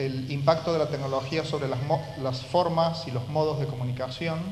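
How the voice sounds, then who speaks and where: A man in a Córdoba accent talks at a moderate pace with fairly even intonation and a fairly high pitch, in audible room echo. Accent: Argentine Córdoba. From Argentina, Córdoba. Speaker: university professor. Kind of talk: lecture.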